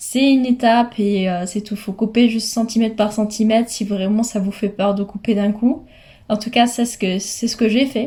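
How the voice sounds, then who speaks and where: With a dark, mellow tone and a somewhat breathy quality, a woman speaks at a moderate pace in a fairly high pitch, keeping her intonation fairly even. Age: 20s. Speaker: hair care vlogger. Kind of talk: tutorial. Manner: hesitant with frequent fillers.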